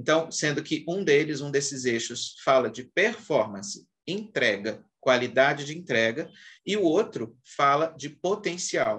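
This man has an ordinary speaking voice, fairly high in pitch, with lively intonation and a fairly slow pace. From Brazil, Minas Gerais. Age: 40s. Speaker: HR executive. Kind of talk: interview.

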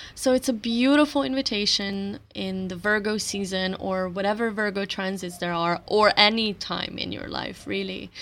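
With a Slovenian accent and a playful tone, a woman speaks at a medium pitch and a moderate pace with hardly any pauses and ordinary pitch variation, on a very clean recording with a silent background. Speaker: astrology podcaster. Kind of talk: solo monologue on astrology. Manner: playful, laughing often.

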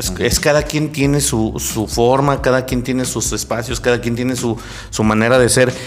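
A man speaks with audible room echo and music playing in the background. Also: medium pitch for a man, ordinary pitch variation, moderate pace. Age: 30s. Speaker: podcast host. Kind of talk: casual chat. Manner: animated.

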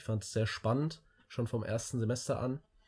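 The background is silent and the recording very clean. A man talks with a somewhat breathy quality. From Germany, Hesse (near Wiesbaden). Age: 20s. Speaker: student, club chairman. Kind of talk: casual chat. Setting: in person, shared room. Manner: halting, many fillers.

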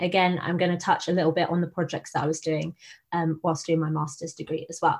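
Over a quiet background, a woman speaks at a fairly low pitch. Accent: southern English. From southern England, Buckinghamshire. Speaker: design researcher. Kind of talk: presentation talk. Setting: video call. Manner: hesitant, many fillers.

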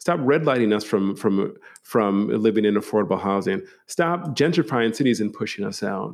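Against a quiet background, a man talks at a fairly quick pace with lively intonation. He has an unremarkable speaking voice at a medium pitch. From Milwaukee, Wisconsin. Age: 40s. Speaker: professor. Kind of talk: casual interview. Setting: office.

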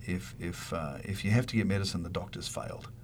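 A man in a New Zealand accent speaks at a fairly quick pace with lively intonation. His pitch is very deep and low, with vocal fry, and the room echo is audible. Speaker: university dean, veterinarian. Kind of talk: radio interview.

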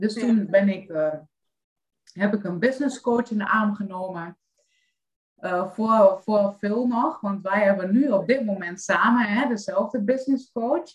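At a medium pitch with ordinary pitch variation, a woman speaks at a fairly slow pace. Her voice is somewhat breathy. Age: 30s. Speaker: life coach. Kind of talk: casual chat.

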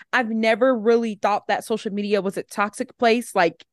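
A woman speaks at a medium pitch, the sound dry and close with no echo against a quiet background. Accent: Southern US. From Alabama. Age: 20s. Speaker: social media content creator. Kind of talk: casual chat.

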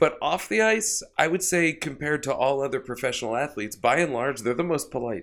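A man with a normal speaking voice and an American accent, fairly high in pitch, lively in intonation and fairly quick in pace, in a very clean recording with a silent background. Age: 30s. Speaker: podcast co-host, comedian. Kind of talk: casual chat. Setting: studio.

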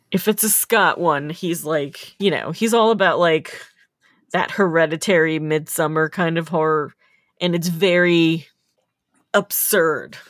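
In a very clean recording with a silent background, a woman with a normal speaking voice talks at a fairly slow pace in a fairly low pitch, her intonation fairly even. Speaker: podcast host. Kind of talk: casual chat.

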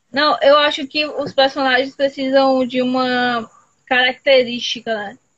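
At a fairly slow pace, a woman speaks with high pitch and monotone, flat intonation. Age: 20s. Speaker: podcast host. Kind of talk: casual chat. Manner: talkative.

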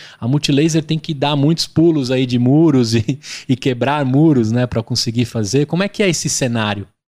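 A moderate pace with ordinary pitch variation, in a dry, close sound with no echo and a quiet background. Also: man, medium pitch for a man. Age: 30s. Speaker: podcast host. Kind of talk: interview. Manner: animated.

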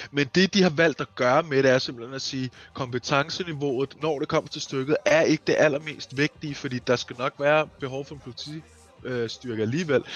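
This man has an ordinary speaking voice, fairly high in pitch, and talks at a moderate pace with fairly even intonation but big swings in loudness. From eastern Denmark. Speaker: roleplay gamer podcast host. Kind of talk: casual chat.

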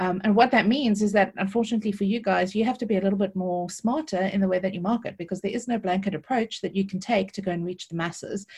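With a South African accent, a woman talks at a very fast pace in a medium pitch, her voice somewhat breathy. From South Africa, Cape Town. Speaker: affiliate marketing consultant. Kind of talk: interview. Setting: video call.

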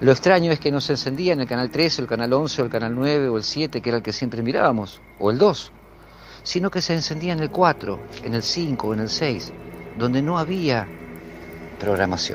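The speaker has a Rioplatense accent and lively intonation. The pace is moderate. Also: man, medium pitch for a man. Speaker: storyteller sharing a paranormal experience. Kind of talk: first-person storytelling. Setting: outdoors in a backyard.

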